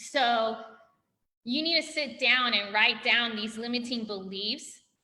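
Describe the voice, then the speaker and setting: The speech moves at a very slow pace, with ordinary pitch variation. Audible room echo surrounds the voice. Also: woman, high pitch for a woman. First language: not English. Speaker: physical therapist, functional medicine practitioner. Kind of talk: interview. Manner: animated.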